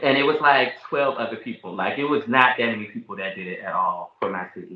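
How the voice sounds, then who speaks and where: Moving at a fairly quick pace, a man with an American accent uses a normal speaking voice at a fairly high pitch. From US South, Richmond, Virginia. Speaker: rapper. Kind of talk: casual chat.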